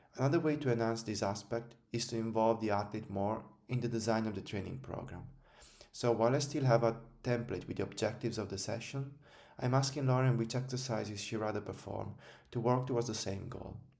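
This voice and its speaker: Speaking in an Italian accent, a man talks at a fairly quick pace with a medium pitch and fairly even intonation, with audible room echo. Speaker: strength and conditioning coach. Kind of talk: scripted narration.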